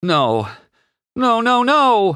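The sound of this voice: A man in a put-on character voice, extremely high pitch, very wide pitch swings, a very slow pace, a bright, sharp and clear, smooth tone, on a very clean recording with a silent background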